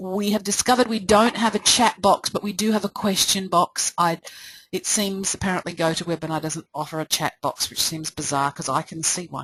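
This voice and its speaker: Delivered at a fairly quick pace in an Australian accent, the voice shows ordinary pitch variation, with a dry, close sound and no echo. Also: woman, medium pitch for a woman. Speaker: presentation coach. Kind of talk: webinar presentation. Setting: live webinar. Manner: fast.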